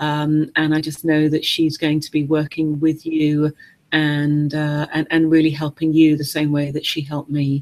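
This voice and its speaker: A woman with an English accent speaks at a moderate pace in a very deep, low, monotone voice. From England. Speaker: webinar host, business coach. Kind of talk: webinar interview. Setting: online video webinar. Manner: hesitant, many fillers.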